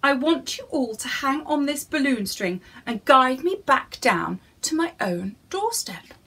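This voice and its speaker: A woman's put-on character voice, high and squeaky, with very wide pitch swings and a fairly slow pace. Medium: read story.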